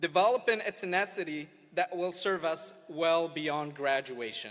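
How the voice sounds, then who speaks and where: Speaking at a moderate pace with an Arabic accent, a man has a high pitch and ordinary pitch variation. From Morocco. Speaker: student speaker. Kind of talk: graduation speech. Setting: outdoor amphitheater with audience.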